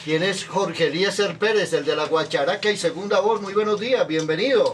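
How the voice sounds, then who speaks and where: Noticeable background noise accompanies a man whose high-pitched voice shows ordinary pitch variation. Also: moderate pace. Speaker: radio host. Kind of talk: radio interview. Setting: studio. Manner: formal.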